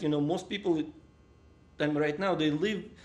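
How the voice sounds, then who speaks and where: Fairly even intonation runs through this man's speech. His pitch sits fairly high. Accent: Russian. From Russia. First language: Russian. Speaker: interviewee. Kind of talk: casual chat.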